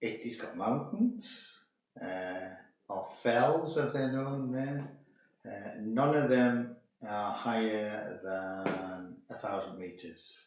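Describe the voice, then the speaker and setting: With audible room echo, a man speaks at a very slow pace, using a medium pitch and ordinary pitch variation. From northern England, Carlisle in Cumbria. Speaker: host's father. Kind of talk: casual interview.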